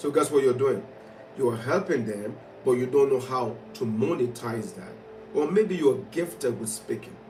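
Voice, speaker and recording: Over music in the background and audible room echo, a man talks at a fairly quick pace with lively intonation. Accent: strong non-native. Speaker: motivational speaker. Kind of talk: motivational livestream talk. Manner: animated.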